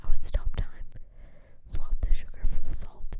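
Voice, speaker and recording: Whispered delivery. The pace is fairly slow. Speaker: ASMR streamer. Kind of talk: whispered casual chat. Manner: whispering; halting, repetitive filler.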